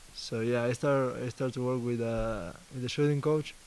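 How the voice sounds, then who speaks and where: In an Argentine accent, a man talks at a fairly slow pace. His pitch sits in the medium range. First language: Spanish. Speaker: basketball player. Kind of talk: press interview. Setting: media availability. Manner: halting, repeats words.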